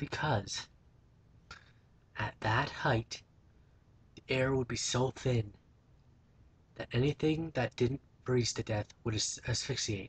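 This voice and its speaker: This man's somewhat breathy voice sits at a medium pitch and moves at a very slow pace. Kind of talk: casual talk to camera. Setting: built-in laptop microphone. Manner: mumbled, not always coherent.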